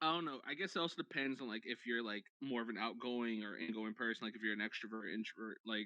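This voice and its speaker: Speaking very fast with hardly any pauses, a man uses a medium pitch and ordinary pitch variation. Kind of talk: casual chat. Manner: loud.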